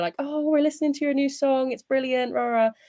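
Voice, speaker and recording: The speech comes at a very fast pace. It carries a strong Bristolian accent. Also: woman. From England, Bristol. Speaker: singer. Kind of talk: casual interview.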